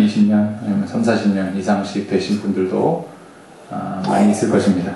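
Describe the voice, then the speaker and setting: A man talks with fairly even intonation. There is audible room echo. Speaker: associate pastor. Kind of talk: sermon. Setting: church with microphone system. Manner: usually soft-spoken, hard to hear; trying to speak louder today.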